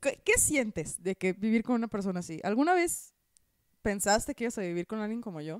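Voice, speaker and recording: Against a quiet background with a dry sound and no echo, a woman talks at a fairly quick pace with lively intonation and an animated tone. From northern Mexico (Hermosillo, Sonora); northern Mexico. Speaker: comedian and podcast co-host; comedian podcast co-host. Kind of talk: casual chat. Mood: playful, joking. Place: home room. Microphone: handheld.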